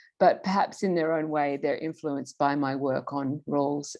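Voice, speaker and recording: At a moderate pace, a woman talks with an American accent in a very deep, low voice. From Australia. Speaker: political theorist, professor. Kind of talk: lecture. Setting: online video call. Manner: careful enunciation.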